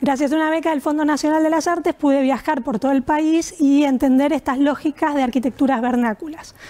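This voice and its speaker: A woman speaks in a high pitch at a fairly quick pace, with hardly any pauses. Her intonation is fairly even and her loudness very even. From Argentina, Buenos Aires. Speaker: architect presenting her work. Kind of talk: presentation. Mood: warm, reflective. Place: home room.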